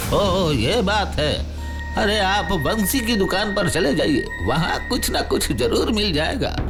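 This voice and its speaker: Over loud music in the background, a man does a put-on character voice at a fairly slow pace. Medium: audio drama. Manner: hesitant, evasive.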